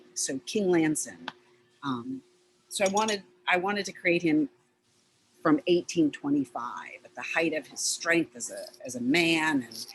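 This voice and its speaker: A woman talks at a moderate pace with a fairly low pitch and lively intonation. Her loudness swings widely, and she leaves long, frequent pauses. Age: 60s. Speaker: sculptor. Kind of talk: panel discussion. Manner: halting.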